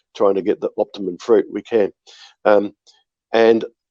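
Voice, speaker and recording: A man with an Australian accent, in a dry, close sound with no echo. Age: 60s. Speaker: winery owner and winemaker. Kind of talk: podcast interview. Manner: hesitant, many fillers and repeats.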